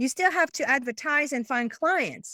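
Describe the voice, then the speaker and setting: A woman with a French accent speaks with lively intonation in a bright, sharp tone, the sound dry and close with no echo. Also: very clean recording, silent background. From France. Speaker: business coach. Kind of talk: interview. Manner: halting.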